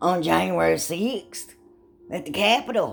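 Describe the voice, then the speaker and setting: A woman speaks with music in the background. Her pitch is fairly low. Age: 70s. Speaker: vlogger and rideshare driver. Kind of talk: casual monologue vlog. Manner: animated.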